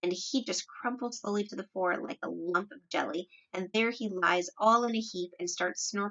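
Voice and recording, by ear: Reading aloud in a natural voice, the speaker lets the pitch rise and fall in an ordinary way.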